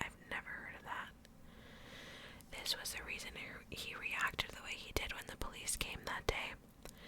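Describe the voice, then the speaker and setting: Amid noticeable background noise, a woman whispers at a moderate pace. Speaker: ASMR creator. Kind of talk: first-person horror story narration. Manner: whispered, soft.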